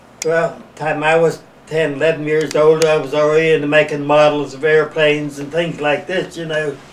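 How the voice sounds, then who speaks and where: With an American accent, a man speaks at a fairly high pitch and a moderate pace, his intonation monotone and flat. He takes long, frequent pauses, and background noise is noticeable. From West Virginia, US. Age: 80s+. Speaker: retired glass mould maker. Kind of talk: oral history interview. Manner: halting, repetitive.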